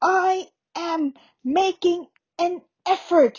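A woman puts on a character voice. It is squeaky and extremely high-pitched. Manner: through clenched teeth.

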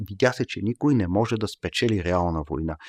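Recorded very cleanly with a silent background and a dry, close sound with no echo, a man speaks at a moderate pace with lively intonation in an ordinary speaking voice. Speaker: professor. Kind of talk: casual chat. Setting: studio.

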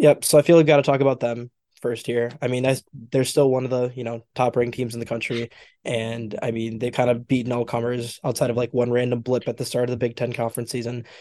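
His pitch is medium, and a man's tone is dark and mellow. He speaks at a very fast pace. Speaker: basketball podcast host. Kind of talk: casual chat.

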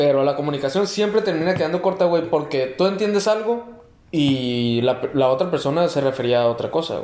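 Amid noticeable background noise and audible room echo, a man speaks fairly quickly at a fairly high pitch. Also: lively intonation. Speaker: podcast host. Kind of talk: casual chat.

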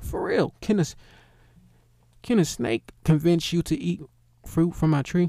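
A man talks fairly slowly, pausing often and at length. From US inner city. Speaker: livestream host. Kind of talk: casual monologue. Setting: live stream.

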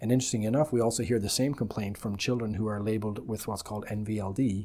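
A man with an Irish accent talks at a very fast pace, his fairly low pitch carrying a dark, mellow tone over fairly even intonation. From Republic of Ireland. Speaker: optometrist. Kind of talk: interview.

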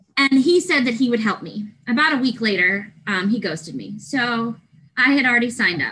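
The voice has a bright, sharp tone with vocal fry. It moves at a fairly quick pace with lively intonation. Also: woman, fairly high pitch for a woman. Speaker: university library facilities manager. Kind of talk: casual interview.

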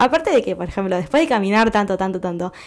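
A woman speaks in a Rioplatense accent. Her pitch is medium, with ordinary pitch variation. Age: 20s. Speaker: podcast host. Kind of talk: casual monologue. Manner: animated.

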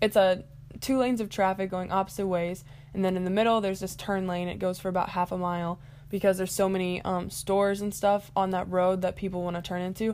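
A woman speaks at a very fast pace. Her pitch sits in the medium range. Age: young. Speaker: podcast host. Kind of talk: casual storytelling monologue. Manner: animated.

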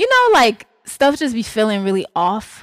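An animated woman's voice in an Atlanta accent, very clean recording with a silent background. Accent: Southern US, Atlanta. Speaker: podcast co-host. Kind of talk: casual chat, podcast banter. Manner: animated, laughing often.

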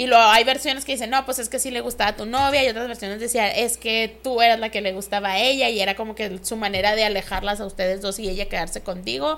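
A woman's fairly high voice in a Mexican accent, very fast and with hardly any pauses. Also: ordinary pitch variation. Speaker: podcast co-host. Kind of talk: casual chat.

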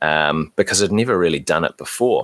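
A man is speaking. He has a New Zealand accent. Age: 30s. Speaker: podcaster. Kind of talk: casual chat.

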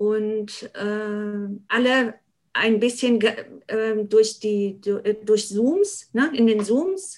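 A woman's voice, fairly high in pitch. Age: 50s. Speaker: party board member, social worker. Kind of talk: podcast interview. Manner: hesitant with many fillers.

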